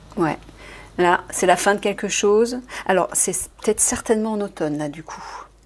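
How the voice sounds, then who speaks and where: A woman's medium-pitched voice with noticeable background noise. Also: ordinary pitch variation, big swings in loudness. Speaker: card reader and spiritual advisor. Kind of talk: tarot-style card reading. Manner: fast.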